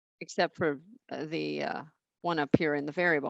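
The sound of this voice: Vocal fry at a fairly slow pace, in a dry, close sound with no echo. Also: woman.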